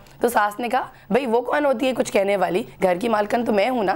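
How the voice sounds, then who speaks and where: Noticeable background noise sits behind a woman speaking at a moderate pace in a fairly high voice. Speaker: TV talk show host. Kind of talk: TV talk show.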